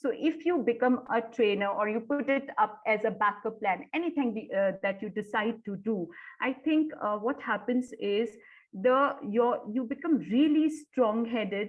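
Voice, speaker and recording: A woman talks in an unremarkable speaking voice at a fairly high pitch. Her pace is fairly slow. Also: ordinary pitch variation. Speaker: corporate trainer. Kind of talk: webinar presentation.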